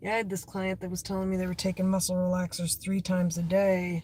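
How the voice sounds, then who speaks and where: Fairly quick and monotone, a woman's medium-pitched voice comes out dark, mellow and somewhat breathy, with flat intonation. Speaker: livestreamer. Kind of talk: casual chat. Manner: rambling, halting.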